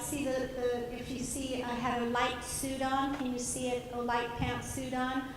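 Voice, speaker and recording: Her pitch is high as this woman speaks at a moderate pace. Audible room echo and noticeable background noise fill the recording. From Colombia. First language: Spanish. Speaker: motivational speaker. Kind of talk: conference keynote speech. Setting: stage with audience. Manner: animated.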